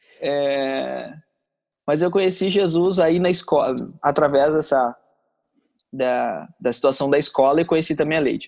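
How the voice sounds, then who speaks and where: A man's fairly high-pitched voice, fairly slow and very even in loudness, with ordinary pitch variation and long, frequent pauses. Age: 30s. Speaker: missionary. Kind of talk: casual interview.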